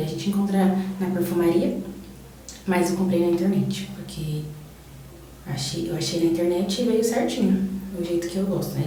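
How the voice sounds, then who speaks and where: Amid noticeable background noise and audible room echo, a woman talks at a moderate pace in a fairly low pitch with monotone, flat intonation. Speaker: beauty vlogger. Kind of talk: casual chat.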